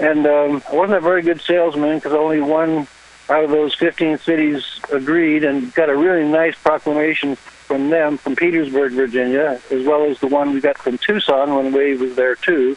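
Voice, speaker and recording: Against noticeable background noise, a man with a fairly high pitch speaks at a moderate pace with hardly any pauses, very even loudness, and fairly even intonation. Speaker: caller reporting from an event. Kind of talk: live phone report. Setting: phone call from outdoors.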